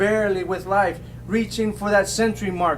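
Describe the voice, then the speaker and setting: A man with an American accent speaks in a high voice for a man, his intonation flat and monotone. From South Texas. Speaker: poet. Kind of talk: poetry reading. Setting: bookstore poetry event.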